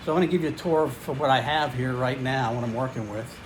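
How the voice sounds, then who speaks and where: A man speaks fairly quickly with audible room echo and noticeable background noise in the recording. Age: 60s. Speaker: fitness YouTuber. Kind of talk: casual vlog. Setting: home garage gym. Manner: halting, many fillers.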